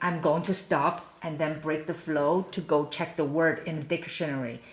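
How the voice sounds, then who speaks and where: With a Chinese accent, a woman talks at a fairly slow pace. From China. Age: 40s. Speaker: parent live streamer. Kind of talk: casual chat. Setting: live stream at home.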